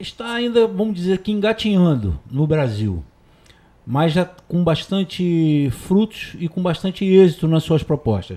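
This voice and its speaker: Lively intonation marks this man's high-pitched voice, which has a dark, mellow tone and a fairly slow pace. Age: 50s. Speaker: harm reduction agent. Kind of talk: talk show interview.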